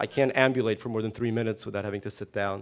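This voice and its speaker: This man has an unremarkable speaking voice and an American accent. His pitch is medium, with fairly even intonation. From US, emigrated from Soviet Union at seven. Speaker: novelist. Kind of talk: interview. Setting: stage with live audience.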